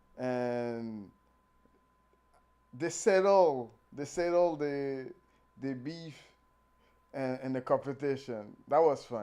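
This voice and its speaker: Very slow speech from a man with a non-native accent, long and frequent pauses, a dark, mellow tone, fairly high pitch and ordinary pitch variation, on a very clean recording with a silent background. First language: not English. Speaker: calisthenics youtuber. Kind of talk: casual vlog commentary. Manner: halting, repeats words.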